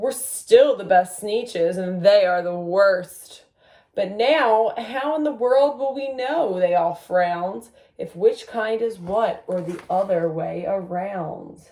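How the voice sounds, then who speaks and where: Putting on a character voice, a woman speaks at a fairly slow pace with a medium pitch. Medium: read story. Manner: snooty, haughty.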